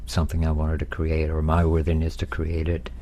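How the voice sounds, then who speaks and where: A man's very deep, low voice with audible room echo and noticeable background noise. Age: 70s. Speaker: executive coach. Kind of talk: casual chat. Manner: halting.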